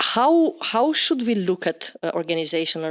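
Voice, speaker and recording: With a Romanian accent, a woman speaks at a fairly slow pace in a dry, close sound with no echo. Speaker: podcast host. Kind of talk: interview.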